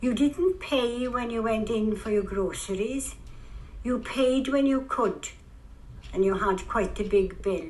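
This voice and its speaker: A woman with a South Wales accent speaks at a fairly high pitch. Her pitch varies in an ordinary way. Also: fairly slow pace. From Bryn, Port Talbot, Wales. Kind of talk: interview answer.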